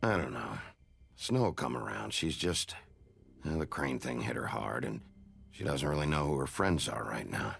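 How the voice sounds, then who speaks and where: A man uses a put-on character voice with very deep, low pitch. He talks at a moderate pace, leaving long, frequent pauses. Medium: video game. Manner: blunt, curt, gruff.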